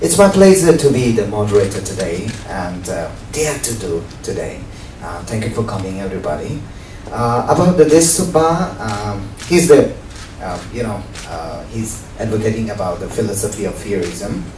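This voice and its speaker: In a Nepali accent, a man speaks with a fairly low pitch, very wide pitch swings and big swings in loudness, amid audible room echo and noticeable background noise. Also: moderate pace. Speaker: event moderator, teacher and community radio host. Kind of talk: event introduction. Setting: book talk with live audience. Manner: halting, many fillers.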